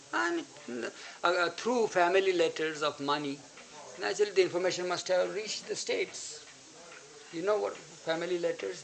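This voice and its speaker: A man's fairly quick speech at a high pitch, with ordinary pitch variation over noticeable background noise. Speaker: spiritual disciple recounting memories. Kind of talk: storytelling to an audience. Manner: halting.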